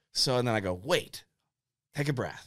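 With an American accent, a man talks at a fairly quick pace and his pitch swings very widely. The recording is very clean, with a silent background. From western Pennsylvania, Indiana PA. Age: 30s. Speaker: forester. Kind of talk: casual chat. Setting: studio.

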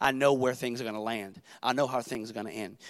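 Over a very clean recording with a silent background, a man with a medium-pitched voice talks at a very fast pace in an animated tone. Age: 30s. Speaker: pastor. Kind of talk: sermon.

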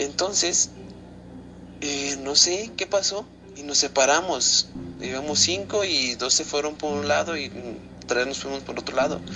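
A man's fairly high, lively voice at a fairly slow pace, with long, frequent pauses, big swings in loudness and noticeable background noise. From Zacatecas, Mexico. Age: young. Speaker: listener sending a story. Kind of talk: recorded personal story.

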